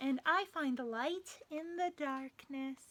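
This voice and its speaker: In a put-on character voice, a woman speaks high-pitched and at a fairly slow pace. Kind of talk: bedtime story. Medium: read story. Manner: calm, gentle.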